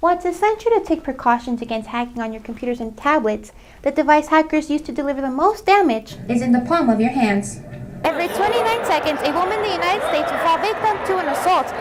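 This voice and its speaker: Over noticeable background noise, a woman talks at a very fast pace in a high voice with very wide pitch swings. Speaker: TV news reporter and anchor. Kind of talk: TV news read.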